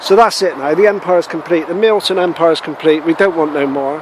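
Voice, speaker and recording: A man speaks with a Bristol accent and ordinary pitch variation. Noticeable background noise is audible behind him. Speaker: allotment gardener vlogger. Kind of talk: casual video walkthrough. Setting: outdoors on allotment.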